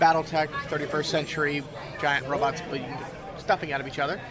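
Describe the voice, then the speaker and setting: Noticeable background noise sits behind a man's voice. His pitch is fairly high, and his intonation is monotone and flat. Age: 30s. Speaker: game company demonstrator. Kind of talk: convention interview. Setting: game convention floor.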